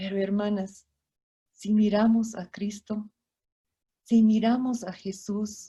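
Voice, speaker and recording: The voice has a dark, mellow tone, somewhat breathy and monotone, with flat intonation. It speaks very slowly with long, frequent pauses. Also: woman, fairly high pitch for a woman. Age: 60s. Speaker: missionary speaker. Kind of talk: sermon.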